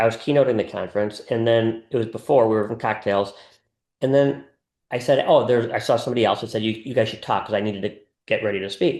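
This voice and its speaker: The background is quiet. A man speaks at medium pitch with ordinary pitch variation. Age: 60s. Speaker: wealth advisor to family offices. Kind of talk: interview conversation. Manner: halting, self-correcting.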